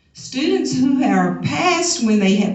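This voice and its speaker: Audible room echo surrounds a woman speaking at a very slow pace and a fairly high pitch. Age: 70s. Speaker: teacher. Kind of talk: convention speech. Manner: emphatic.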